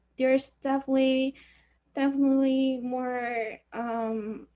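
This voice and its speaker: Speaking in a Chinese accent, a woman uses a high pitch with monotone, flat intonation. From China. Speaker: university student. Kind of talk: class discussion. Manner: halting.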